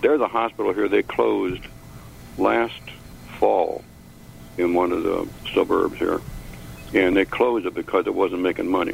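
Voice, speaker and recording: Moderate-paced speech from a man, noticeable background noise underneath. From Chicago.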